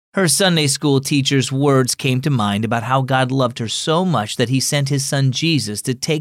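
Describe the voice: A plain read-aloud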